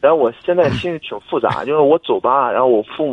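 A man with a plain, everyday voice, fairly high in pitch, at a fairly quick pace. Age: 20s. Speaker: caller seeking career advice. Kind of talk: phone-in advice call. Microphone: noisy line, told to speak into the mic.

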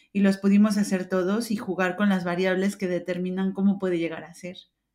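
A woman's medium-pitched voice, dark and mellow in tone, with fairly even intonation and a fairly quick pace. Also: big swings in loudness. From Mexico. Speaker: open innovation expert. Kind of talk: interview.

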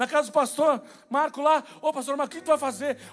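A man speaks at an extremely high pitch. His pace is very fast. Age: 30s. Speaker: pastor. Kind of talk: sermon. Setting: church.

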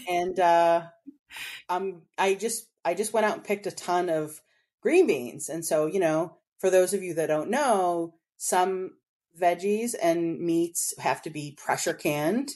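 With a quiet background, a woman speaks fairly slowly in an unremarkable speaking voice, her pitch fairly low with ordinary variation. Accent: American. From Boston, New England. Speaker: home gardener. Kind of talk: casual interview.

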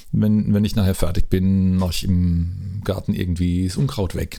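A man's dark, mellow voice, very deep and low in pitch, at a moderate pace. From Mannheim, southwest Germany. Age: 50s. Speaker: music school director. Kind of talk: casual interview. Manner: halting, with repetitions.

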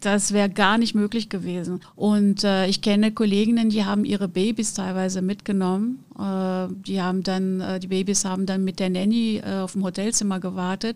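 Speaking at a medium pitch and a moderate pace with hardly any pauses, a woman with a Portuguese accent keeps a monotone, flat intonation in a very clean recording with a silent background. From Brazil, Rio de Janeiro. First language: Portuguese (speaking German). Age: 50s. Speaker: conference interpreter and business owner. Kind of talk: interview.

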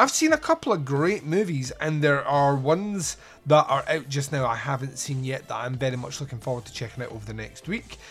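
A man with a Scottish accent at a fairly quick pace, with hardly any pauses. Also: fairly high pitch for a man, ordinary pitch variation. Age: 40s. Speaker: podcast host. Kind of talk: casual monologue.

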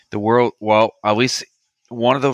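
A man's bright, sharp tone in a Maritime Canadian accent. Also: dry, close sound with no echo. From Canada, New Brunswick. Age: 30s. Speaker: military historian and woodworker. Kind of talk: interview.

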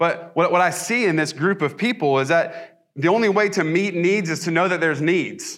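Speaking with an American accent, a man uses a high pitch, ordinary pitch variation and hardly any pauses. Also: moderate pace, very clean recording, silent background. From US South. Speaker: pastor. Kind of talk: sermon. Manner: casual, with many fillers and restarts.

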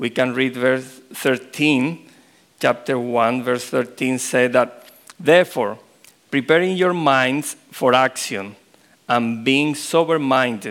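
At a very slow pace, a man talks in a medium pitch with a Spanish accent. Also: ordinary pitch variation. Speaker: pastor. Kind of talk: sermon. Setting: church.

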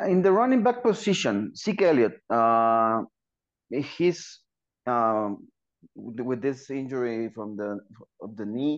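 A man with a medium pitch speaks at a very slow pace with lively intonation, big swings in loudness and long, frequent pauses. The background is quiet. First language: Spanish. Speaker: football podcast co-host. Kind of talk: podcast interview.

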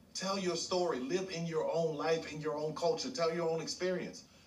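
A man with a high voice talks at a moderate pace over noticeable background noise. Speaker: podcast guest. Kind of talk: casual chat.

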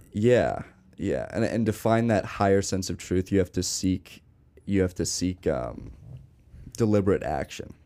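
A man's fairly low, dark, mellow voice with vocal fry, ordinary pitch variation, a fairly slow pace and long, frequent pauses. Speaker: podcast host. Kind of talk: casual chat.

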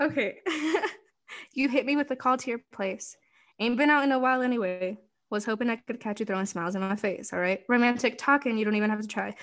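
A woman's playful voice, fairly high in pitch with ordinary pitch variation, at a very fast pace over a quiet background. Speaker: guest co-advisor. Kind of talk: casual chat. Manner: playful, joking.

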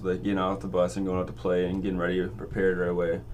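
A man's very deep, low voice at a very fast pace, with audible room echo. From Grand Forks, North Dakota. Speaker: student podcast host. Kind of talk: casual interview.

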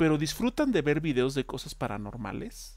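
Speaking at a fairly slow pace with a Mexican accent, a man is heard in a very clean recording with a silent background. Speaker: podcast co-host. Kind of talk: casual chat.

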